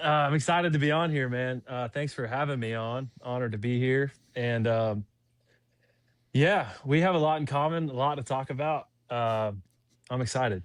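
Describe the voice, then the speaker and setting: This speaker talks in a Southern US accent at a moderate pace with ordinary pitch variation. The recording is very clean with a silent background. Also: man. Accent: Southern US (Georgia). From US South, Fayetteville, Georgia. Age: 20s. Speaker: lawn care business owner and ultrarunner. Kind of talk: casual interview chat.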